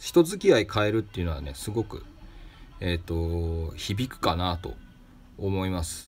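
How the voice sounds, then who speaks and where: A man with a very deep, low pitch speaks at a moderate pace, somewhat breathy, showing big swings in loudness and ordinary pitch variation. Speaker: craftsman and shop owner, podcast host. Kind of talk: solo advice talk answering listener mail.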